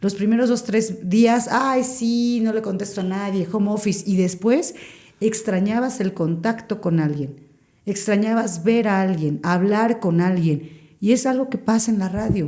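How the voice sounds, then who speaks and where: A woman's medium-pitched voice, dark and mellow, with ordinary pitch variation at a fairly slow pace. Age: 40s. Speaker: radio broadcaster. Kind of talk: podcast interview.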